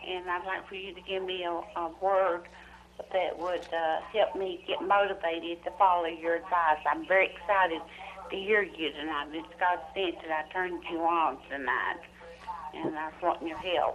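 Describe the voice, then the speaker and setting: A woman's fairly low-pitched voice at a moderate pace, with fairly even intonation, big swings in loudness and noticeable background noise. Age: 60s. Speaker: caller. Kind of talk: phone-in question. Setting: phone call.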